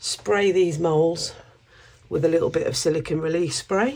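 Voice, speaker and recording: Ordinary pitch variation at a fairly quick pace. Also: woman. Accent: British. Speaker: craft YouTuber. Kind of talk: tutorial. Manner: casual, chatty.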